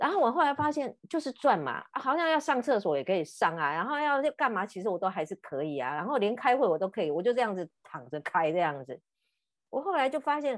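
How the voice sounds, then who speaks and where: The speaker goes at a fairly quick pace, with very wide pitch swings and vocal fry. The background is quiet. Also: woman, fairly high pitch for a woman. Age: 50s. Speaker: podcast host and counselor. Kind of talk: casual chat.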